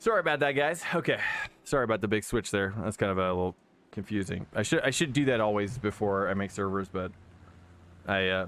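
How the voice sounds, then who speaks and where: A man with an American accent speaks at a fairly low pitch. His intonation is lively. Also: fairly quick pace. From California. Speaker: sim racing streamer. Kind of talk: live stream chat. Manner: fast; casual, filler-heavy.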